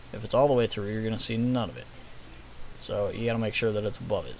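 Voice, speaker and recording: This is a man speaking. His pitch is medium. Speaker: gaming mod tutorial youtuber. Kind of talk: screen-recorded tutorial. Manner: fast; casual, hesitant with fillers.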